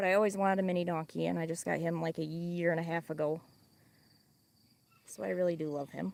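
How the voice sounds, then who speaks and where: A woman talks at a very fast pace with a strong Midwestern accent. Her pitch sits fairly low, broken by long, frequent pauses. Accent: Midwestern, thick by own account. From Wisconsin. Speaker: farm livestreamer. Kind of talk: casual livestream chat. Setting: outdoors on a farm. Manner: chatty, animated.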